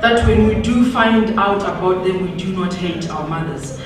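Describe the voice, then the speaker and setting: Over noticeable background noise, a woman talks at a fairly slow pace. Her pitch variation is ordinary. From Zimbabwe. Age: 20s. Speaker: performance poet. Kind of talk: spoken word poetry performance. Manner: powerful, forceful.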